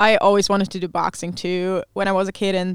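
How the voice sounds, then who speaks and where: On a very clean recording with a silent background, a woman with a German accent talks at a fairly quick pace and medium pitch, the sound dry and close with no echo. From Germany. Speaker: visitor from Germany living with host family. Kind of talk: casual chat. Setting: studio booth. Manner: laughs often.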